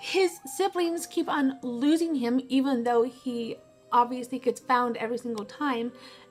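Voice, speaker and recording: A woman talks at a fairly slow pace with lively intonation. Music plays in the background. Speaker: vlogger. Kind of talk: casual vlog monologue.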